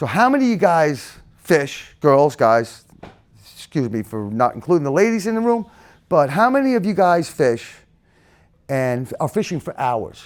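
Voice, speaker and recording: Here a man speaks in a high voice at a moderate pace. His pitch swings very widely. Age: 60s. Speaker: lure maker and business owner. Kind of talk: talk to a club audience. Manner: animated.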